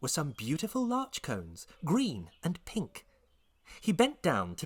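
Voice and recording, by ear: A passage is read aloud here in a natural voice.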